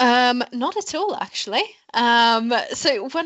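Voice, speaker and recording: A woman is speaking. Her intonation is lively. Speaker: music industry professional. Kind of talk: podcast interview.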